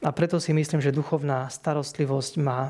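A man with a fairly high, somewhat breathy voice and a dark, mellow tone speaks in a monotone, flat intonation. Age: 40s. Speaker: hospital chaplain priest. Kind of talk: interview. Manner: repetitive, hesitant word repeats.

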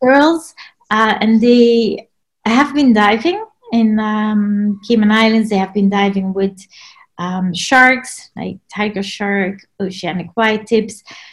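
Somewhat breathy and fairly high-pitched, a woman speaks at a very slow pace with ordinary pitch variation. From Belgium. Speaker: underwater photographer. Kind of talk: casual interview. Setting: video call.

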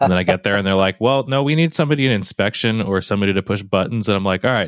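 Very fast and with hardly any pauses, a man speaks at a fairly low pitch with ordinary pitch variation and very even loudness, in a dry, close sound with no echo. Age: 30s. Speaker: podcast host, machinist. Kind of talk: casual interview chat. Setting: video call.

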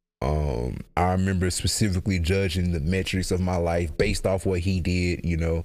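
Very deep, low male pitch with fairly even intonation and very even loudness, from a man on a very clean recording with a silent background. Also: moderate pace. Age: 20s. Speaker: podcast host. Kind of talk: casual rambling podcast banter with comedic riffs. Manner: laid-back, conversational, profane.

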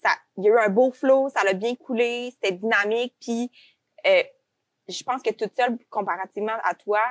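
A woman with a fairly high voice speaks at a moderate pace with fairly even intonation and long, frequent pauses, the sound dry and close with no echo. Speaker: podcast host, recruitment agency owner. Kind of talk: podcast interview.

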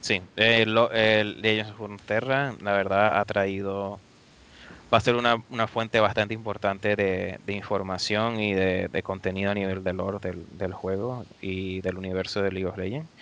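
A man's fairly low voice at a moderate pace, with monotone, flat intonation. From Venezuela. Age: 20s. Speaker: video game network operations engineer. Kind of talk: interview.

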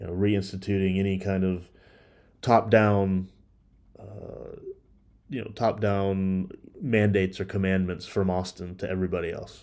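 Very deep, low male voice in a monotone, flat intonation, with big swings in loudness, long, frequent pauses and a quiet background. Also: moderate pace. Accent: Texan. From Texas, Dallas area. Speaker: podcast host. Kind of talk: political commentary monologue.

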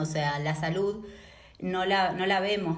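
In an Argentine accent, a woman talks at a fairly slow pace with fairly even intonation, and room echo is audible. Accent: Argentine Spanish (voseo). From Argentina, Patagonia (Neuquén). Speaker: sociologist. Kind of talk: interview.

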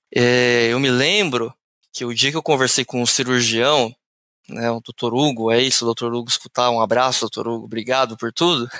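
Recorded very cleanly against a silent background, a man at medium pitch speaks at a moderate pace with fairly even intonation, his tone bright and sharp and the sound dry and close with no echo. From interior of São Paulo state, Brazil (Ribeirão Preto). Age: 30s. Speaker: sales manager. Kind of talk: podcast interview.

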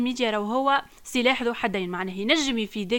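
A woman with a fairly high pitch and a bright, sharp tone speaks at a moderate pace with lively intonation, in a very clean recording with a silent background. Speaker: podcast co-host. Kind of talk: casual chat.

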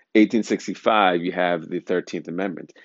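A man talks with a very deep, low pitch. His pitch varies in an ordinary way. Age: 40s. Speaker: podcast host. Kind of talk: solo monologue. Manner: halting, frequent uh fillers.

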